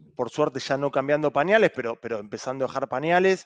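In a Rioplatense accent, a man talks at a moderate pace with ordinary pitch variation, the sound dry with no echo and the background quiet. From Argentina. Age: 30s. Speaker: rugby club president. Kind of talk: interview. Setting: video call. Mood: relaxed, friendly. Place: home room. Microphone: headset.

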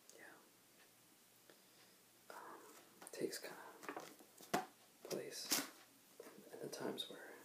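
Whispering at a fairly slow pace, a man leaves long pauses often. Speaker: ASMR creator. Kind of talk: ASMR soft spoken talk to camera. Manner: soft-spoken, casual, hesitant. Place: home room. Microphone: webcam.

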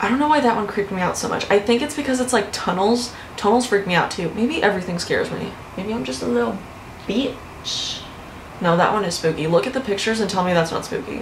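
A woman speaks at a very fast pace. Light background noise and audible room echo are present. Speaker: youtuber. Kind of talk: casual vlog chat. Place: home room.

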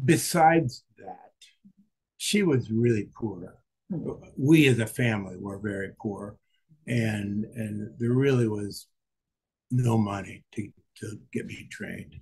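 A somewhat breathy man's voice at a medium pitch and fairly slow pace, with long, frequent pauses, ordinary pitch variation and big swings in loudness against a quiet background. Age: 80s+. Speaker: retiree learning to swim. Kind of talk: interview. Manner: halting. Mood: reflective, candid. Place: home room. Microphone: webcam.

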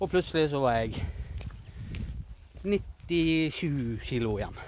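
Recorded dry with no echo, a man talks over light background noise. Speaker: vlogger. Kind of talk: casual vlog chat. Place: forest. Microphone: phone near.

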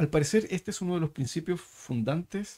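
A man's dark, mellow voice, somewhat breathy, with lively intonation. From Chile. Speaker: podcast host, think tank director; podcast host. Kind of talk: interview conversation. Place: studio. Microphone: studio mic.

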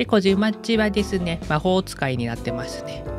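An upbeat, playful tone with very wide pitch swings at a moderate pace, music in the background. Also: man. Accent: slight Kumamoto. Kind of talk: casual talk to camera, fan art showcase.

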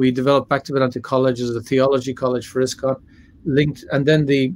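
This is a man speaking with an Irish accent. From Ireland. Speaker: religious scholar and lecturer; guest. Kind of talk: interview. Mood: relaxed, reflective. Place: home room. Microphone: webcam.

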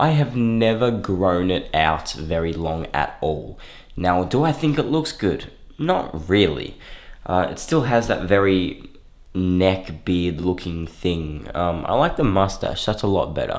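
The background stays quiet. A man talks with a very deep, low pitch. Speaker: fitness vlogger. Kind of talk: casual vlog chat. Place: home room. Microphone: phone near.

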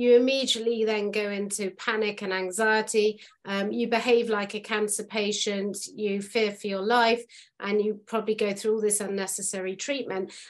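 A woman's fairly high voice in monotone, flat intonation at a moderate pace, over a quiet background. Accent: British. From United Kingdom. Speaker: podcast host. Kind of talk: podcast interview. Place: home room. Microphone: video call.

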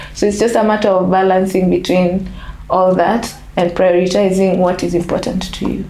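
Audible room echo surrounds a woman speaking at a moderate pace in a monotone, flat way. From Kenya, Nairobi. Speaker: basketball national team manager. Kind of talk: interview. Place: home room.

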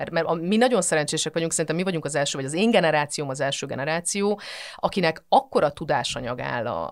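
Against a quiet background, a woman with a very deep, low pitch speaks at a very fast pace with lively intonation. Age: 40s. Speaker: physicist and mental health professional; podcast guest. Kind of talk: casual interview chat. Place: studio.

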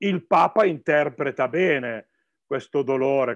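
Heard in a dry sound with no echo, a man talks with ordinary pitch variation. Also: quiet background. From northern Italy, Piedmont (Novara province); Piedmont, Italy. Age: 60s. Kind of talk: talk answering questions. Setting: video call. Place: office. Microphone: video call.

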